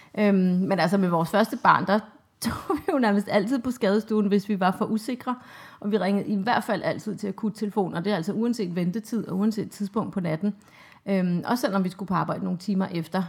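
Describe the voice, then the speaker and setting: A woman talks at a moderate pace and medium pitch, somewhat breathy, with ordinary pitch variation. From Denmark, Copenhagen. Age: 30s. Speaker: mother of two, interviewee. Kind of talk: interview. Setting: at home.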